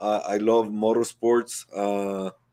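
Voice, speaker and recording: A man with a Guatemalan accent speaks at a very slow pace. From Guatemala (Guatemala City). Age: 40s. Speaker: entrepreneur and former athlete. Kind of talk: interview. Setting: live online show. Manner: halting, many fillers and repeats.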